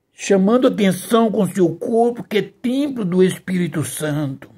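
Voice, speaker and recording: This man has a high voice with a dark, mellow tone and lively intonation. He speaks very slowly. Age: 70s. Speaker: pastor. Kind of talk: sermon. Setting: livestream.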